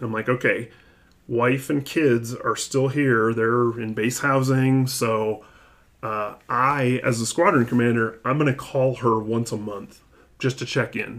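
An ordinary speaking voice belongs to a man with an American accent. He talks at a fairly slow pace and medium pitch, his intonation fairly even. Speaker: air force colonel. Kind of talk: interview.

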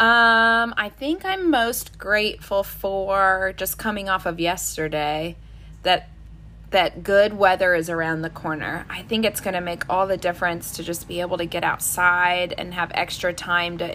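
A woman speaks at a fairly slow pace, her pitch fairly low and her tone bright and sharp. Her intonation stays fairly even. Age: 30s. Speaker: podcast host. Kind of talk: casual chat. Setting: video call.

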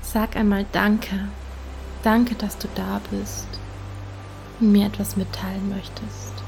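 A woman's gentle, warm tone at a very slow pace, with long, frequent pauses and noticeable background noise. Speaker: meditation guide. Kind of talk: guided meditation. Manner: slow, soft and soothing, with long calm pauses; gentle, warm and intimate, addressing the listener as du.

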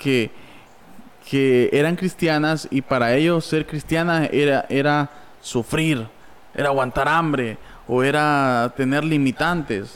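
Fairly high-pitched and fairly even in intonation, a man speaks at a very slow pace. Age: 20s. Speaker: church member and podcast host. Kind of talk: casual chat.

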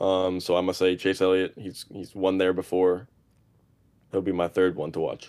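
Using monotone, flat intonation, a man with a very deep, low pitch speaks at a moderate pace. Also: very clean recording, silent background. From Boston, Massachusetts. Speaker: college student and social media creator. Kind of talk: casual chat.

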